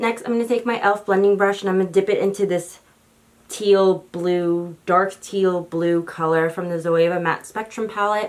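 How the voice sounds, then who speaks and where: An ordinary speaking voice is heard at a moderate pace. Its intonation stays fairly even. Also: woman, medium pitch for a woman. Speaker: beauty YouTuber. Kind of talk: makeup tutorial.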